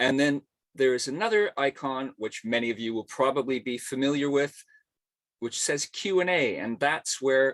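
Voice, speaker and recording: A plain, everyday voice from a man at medium pitch and moderate pace, with ordinary pitch variation, a quiet background and a dry, close sound with no echo. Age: 60s. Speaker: arts journalist and webinar host. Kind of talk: webinar hosting. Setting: video call from home attic.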